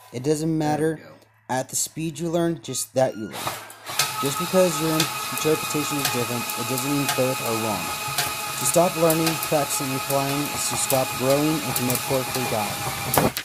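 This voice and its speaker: Loud background noise fills the clip. Over it, a man speaks at a moderate pace. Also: ordinary pitch variation. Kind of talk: tutorial. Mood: calm, reflective. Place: workshop. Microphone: phone near.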